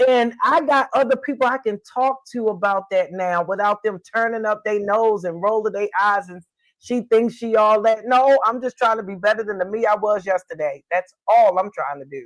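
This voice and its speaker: A woman speaks with an animated tone at a moderate pace, barely pausing. Her voice is fairly high, with ordinary pitch variation. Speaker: livestream host and community leader. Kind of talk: casual live stream chat.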